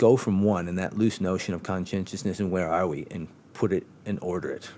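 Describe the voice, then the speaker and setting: This man has a very deep, low pitch and a dark, mellow tone, with fairly even intonation. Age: 40s. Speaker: debate participant. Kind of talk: casual conversation. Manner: halting, many repeated words.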